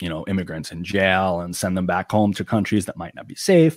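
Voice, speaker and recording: Speaking in an American accent, a man keeps a fairly quick pace and a fairly low pitch. The recording is very clean, dry and close, with no echo and a silent background. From Long Island, New York. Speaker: YouTuber and political commentator. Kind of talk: casual interview chat.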